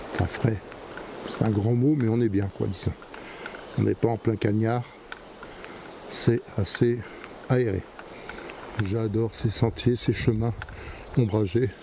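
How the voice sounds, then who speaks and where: Against noticeable background noise, a man with a fairly low pitch and fairly even intonation speaks at a very slow pace with long, frequent pauses. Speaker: hiking vlogger. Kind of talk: walking vlog narration. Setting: outdoors on a forest trail. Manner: halting, repeats words.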